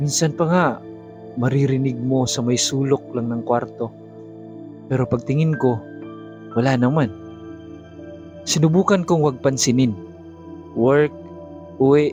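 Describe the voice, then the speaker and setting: A man speaks at a fairly slow pace with a medium pitch. His pitch varies in an ordinary way, and music plays in the background. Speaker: voice actor. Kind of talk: horror confession narration. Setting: home studio.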